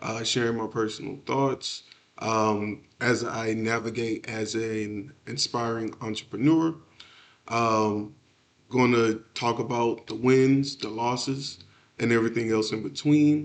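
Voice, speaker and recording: An unremarkable speaking voice with an American accent moves at a fairly slow pace. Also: man, medium pitch for a man, fairly even intonation. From Texas, Houston. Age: 30s. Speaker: aspiring entrepreneur, podcaster. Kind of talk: solo podcast monologue. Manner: many filler words, casual.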